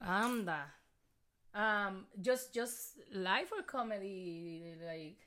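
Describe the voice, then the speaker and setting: At a very slow pace, a woman speaks at medium pitch with a bright, sharp tone and ordinary pitch variation. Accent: Puerto Rican. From Puerto Rico. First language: Spanish. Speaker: comedian. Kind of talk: casual chat. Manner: excitable.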